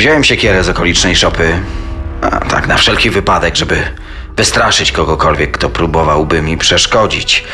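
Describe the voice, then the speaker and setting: Over music in the background, a man speaks at a moderate pace with a very deep, low pitch. His pitch variation is ordinary and his loudness very even. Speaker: co-narrator voicing characters. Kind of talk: true-crime narration with dramatized quoted speech.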